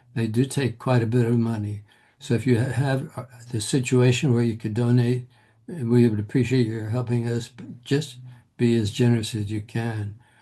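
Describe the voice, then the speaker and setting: This man's voice is medium in pitch, somewhat breathy and dark and mellow in tone, delivered in a flat monotone at a moderate pace. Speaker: reflexology trainer. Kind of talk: workshop closing remarks.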